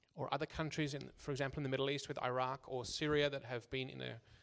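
A man with an Australian accent at a medium pitch, fairly quick pace and monotone, flat intonation. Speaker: church interpreter. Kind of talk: consecutive interpreting of a talk. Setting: church service. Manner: halting, with repetitions.

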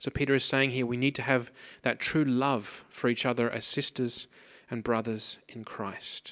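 This man has a medium pitch and speaks with an Australian accent. His intonation is monotone and flat. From Australia, Pacific coast. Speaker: preacher. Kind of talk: sermon. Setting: church.

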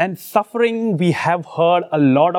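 It is quiet in the background. A man talks at a moderate pace with lively intonation. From India, Mumbai. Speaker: preacher. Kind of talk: sermon. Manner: halting, pausing for interpreter.

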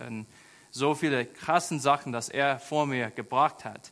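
Using fairly even intonation, a man with an American accent speaks at a moderate pace. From rural USA. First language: English (speaking German). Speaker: charity volunteer ambassador, school aide. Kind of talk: sermon. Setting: church. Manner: halting, many fillers.

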